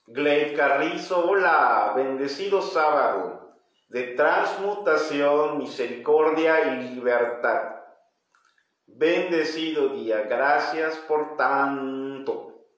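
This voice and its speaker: A man talks at a very slow pace with fairly high pitch and ordinary pitch variation. Audible room echo surrounds his voice. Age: 40s. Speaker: metaphysics teacher leading livestream study group. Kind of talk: livestream lecture with reading aloud and viewer comments; live stream talk, greeting viewers. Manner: halting, with frequent repetitions. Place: home room. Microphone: phone near.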